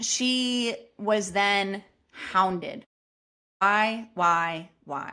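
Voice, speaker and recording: A woman speaks loudly at a medium pitch, her tone bright, sharp and animated. Her intonation is lively, and the recording is very clean with a silent background. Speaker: podcast host. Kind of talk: storytelling monologue.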